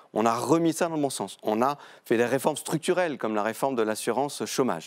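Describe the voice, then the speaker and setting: In a quiet setting, a man's lively intonation accompanies his fairly quick delivery. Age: 40s. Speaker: member of parliament; guest. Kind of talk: televised political debate. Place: studio. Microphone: lapel.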